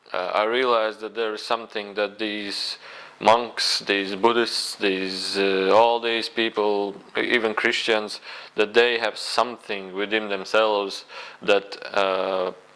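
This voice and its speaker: Over noticeable background noise, a man speaks at a fairly slow pace in a fairly low pitch with fairly even intonation. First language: not English. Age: 20s. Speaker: spiritual video blogger. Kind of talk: personal testimony monologue. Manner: halting, many fillers.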